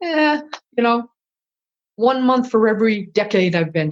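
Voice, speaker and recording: A woman with an American accent talks at a moderate pace in a fairly high pitch. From Massachusetts, New England. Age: 60s. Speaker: retired culinary instructor and chef. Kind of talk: podcast interview. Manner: halting, frequent repetitions.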